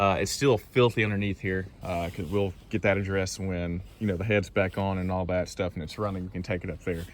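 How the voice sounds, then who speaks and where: A man talks fairly quickly with a Southern US accent and a very deep, low pitch. His intonation stays fairly even. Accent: Southern US country. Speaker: car enthusiast YouTuber. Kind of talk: casual walkaround video. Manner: casual, many fillers.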